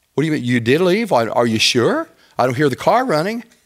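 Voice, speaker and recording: A man talks at a very fast pace. All around him is a quiet background. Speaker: teacher or preacher. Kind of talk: sermon. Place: church.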